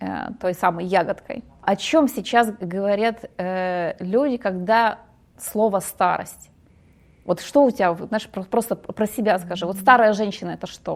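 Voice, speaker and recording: Pitched in a medium range, a woman speaks at a fairly slow pace. Her pitch varies in an ordinary way. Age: 40s. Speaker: women's psychology speaker. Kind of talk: podcast interview. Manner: halting.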